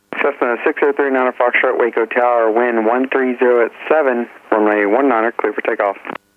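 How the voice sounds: A man talks at a fairly quick pace with fairly even intonation and a medium pitch. The sound is dry and close, with no echo.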